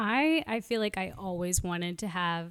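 A woman's medium-pitched, fairly evenly intoned voice, an ordinary speaking voice, in a very clean recording with a silent background. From Brooklyn, New York. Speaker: podcast guest, married to co-guest. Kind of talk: casual chat.

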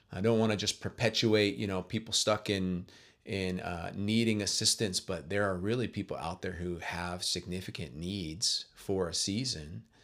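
A man's ordinary speaking voice, fairly low in pitch, at a moderate pace with ordinary pitch variation, in a very clean recording with a silent background. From Kent, Washington, US Pacific Northwest. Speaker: campus pastor. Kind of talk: interview.

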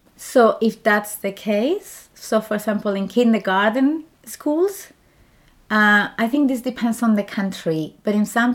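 In a very clean recording with a silent background, a woman talks with a strong Spanish accent. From Spain. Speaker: doctoral researcher. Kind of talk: interview.

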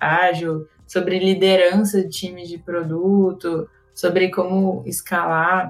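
Noticeable background noise is present throughout. A woman does the talking. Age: 20s. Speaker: product manager, former startup founder. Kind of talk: podcast interview.

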